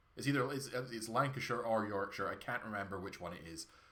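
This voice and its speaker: A very fast-talking man with ordinary pitch variation, audible room echo and noticeable background noise. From Scotland, Perthshire. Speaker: video game streamer. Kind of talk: casual gameplay livestream chat.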